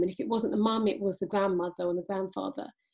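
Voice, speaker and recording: Medium in pitch, a woman speaks with a British accent and ordinary pitch variation. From England. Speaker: podcast host. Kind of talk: interview. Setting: remote call.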